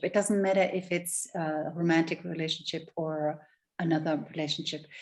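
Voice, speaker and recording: In a German accent, the speaker goes at a moderate pace with ordinary pitch variation. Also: woman. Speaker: love and relationship coach. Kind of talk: interview.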